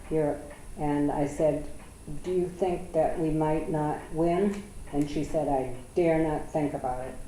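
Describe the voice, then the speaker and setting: A woman with an American accent and a very deep, low pitch, fairly slow and fairly even in intonation, with audible room echo. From USA. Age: 80s. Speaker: interviewee recalling wartime childhood. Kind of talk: oral history interview.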